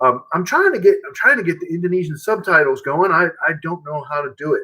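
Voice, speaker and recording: Amid noticeable background noise, a man talks very fast, his loudness swinging widely. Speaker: music teacher and guitarist. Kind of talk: live stream chat with demonstration. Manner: halting.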